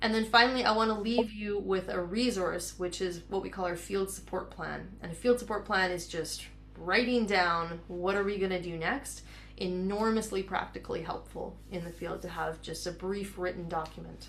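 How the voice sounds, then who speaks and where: There's noticeable background noise and audible room echo around a woman speaking. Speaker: counseling psychologist and program founder leading a webinar. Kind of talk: webinar presentation. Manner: fast.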